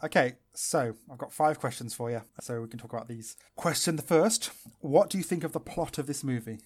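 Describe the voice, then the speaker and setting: Using an ordinary speaking voice, a man talks at a fairly quick pace and fairly high pitch with lively intonation. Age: 20s. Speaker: podcast co-host. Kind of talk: casual chat.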